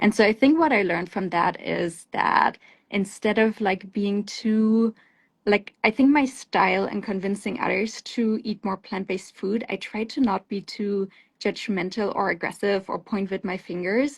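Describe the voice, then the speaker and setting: A woman with a German accent speaks at a medium pitch and a moderate pace, sounding somewhat breathy. Her pitch varies in an ordinary way over a quiet background. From Germany. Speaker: plant-based food company founder and CEO. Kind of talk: interview on a live show. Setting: live stream.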